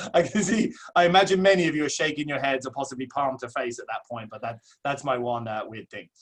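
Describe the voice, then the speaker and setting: A man with an English accent speaks very fast at a fairly high pitch. His intonation is lively. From southeast England. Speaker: associate principal. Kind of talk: webinar presentation. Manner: hesitant with many fillers.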